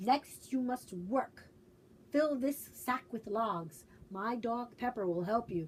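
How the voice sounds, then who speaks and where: A woman's put-on character voice, fairly high in pitch and fairly slow in pace. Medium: read story. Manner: gruff, curt.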